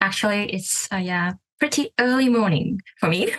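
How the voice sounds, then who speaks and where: Speaking at a fairly slow pace with a Korean accent, a woman's fairly high voice comes through dry and close with no echo. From South Korea. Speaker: English learner and language teacher. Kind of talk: casual interview. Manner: hesitant, many fillers.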